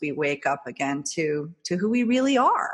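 A woman's plain, everyday voice, fairly low in pitch, with lively intonation and a fairly slow pace. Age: 50s. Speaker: social media marketing entrepreneur. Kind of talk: interview.

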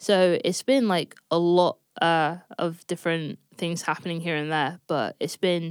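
In a London accent, a woman talks with a fairly low pitch. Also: very clean recording, silent background. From North London. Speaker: session bassist and producer. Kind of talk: interview.

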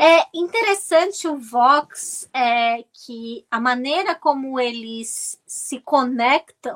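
A bright, sharp tone comes through in a dry, close sound with no echo, with ordinary pitch variation and a very slow pace. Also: woman. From Brazil, Santos (São Paulo state). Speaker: journalist and political commentator. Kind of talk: interview. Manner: halting with fillers.

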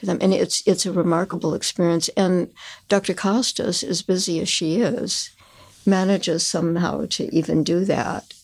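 With an American accent, a woman uses a plain, everyday voice at a medium pitch. She talks at a moderate pace in a very clean recording with a silent background. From Chicago area, US Midwest. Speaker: patient. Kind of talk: casual interview.

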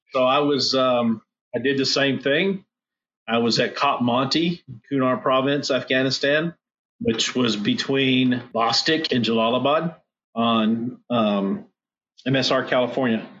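A man with an ordinary speaking voice talks at a fairly slow pace, medium in pitch, with ordinary pitch variation and very even loudness. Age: 50s. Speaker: war veteran. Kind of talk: casual chat.

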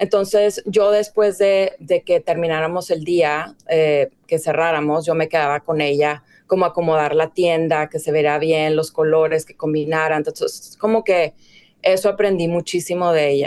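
A woman at a moderate pace, fairly low in pitch, with fairly even intonation and an ordinary speaking voice. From Mexico, Ciudad Juárez (border). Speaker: fashion director and stylist. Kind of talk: casual interview.

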